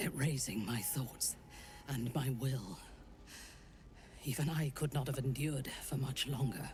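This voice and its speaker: Over clear background noise, a put-on character voice at a low-to-middle pitch speaks with long, frequent pauses. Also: moderate pace. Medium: video game. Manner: cold, haughty.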